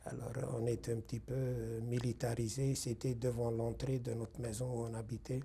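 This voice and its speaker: A man at a medium pitch speaks at a moderate pace with hardly any pauses. His intonation is monotone and flat. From Hungary. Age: 60s. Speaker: Holocaust survivor. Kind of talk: testimony interview. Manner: halting, with hesitations.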